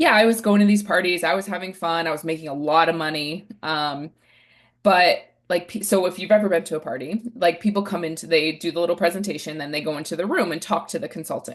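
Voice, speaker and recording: A woman with an American accent, animated in tone, fairly low in pitch with ordinary variation, at a very fast pace. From New Hampshire, US. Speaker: relationship coach. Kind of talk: podcast interview.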